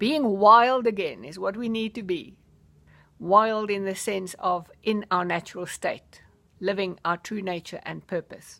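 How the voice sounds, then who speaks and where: A woman speaks at a fairly slow pace and medium pitch, her tone bright and sharp, with ordinary pitch variation and big swings in loudness. The recording is very clean, with a silent background. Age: 60s. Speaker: life coach. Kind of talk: personal vlog monologue. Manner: enthusiastic.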